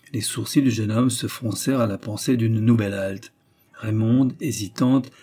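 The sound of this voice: An unforced reading voice carries the words.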